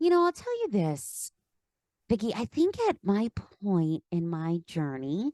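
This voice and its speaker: In a Philadelphia accent, a dark, mellow voice swings very widely in pitch at a fairly slow pace, with a dry, close sound and no echo. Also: woman, medium pitch for a woman. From Pennsylvania, Philadelphia area. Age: 30s. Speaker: life coach. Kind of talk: podcast interview. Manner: animated.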